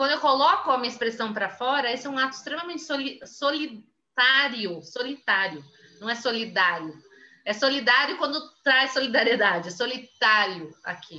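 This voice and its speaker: Moving at a moderate pace, a woman speaks with a high pitch. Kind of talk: lecture. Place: home room. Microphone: webcam.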